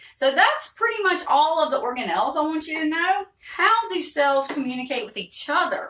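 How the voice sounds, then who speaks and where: A moderate pace carries the speech. The voice belongs to a woman. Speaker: teacher. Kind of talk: lecture.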